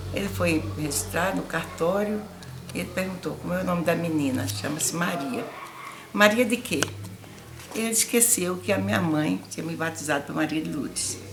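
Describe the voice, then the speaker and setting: A woman speaks at a fairly low pitch with very wide swings, pausing long and often. Music plays in the background, and room echo is audible. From Brazil, Paraíba (Northeast). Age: 80s+. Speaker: elderly interviewee telling life story. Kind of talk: life story interview.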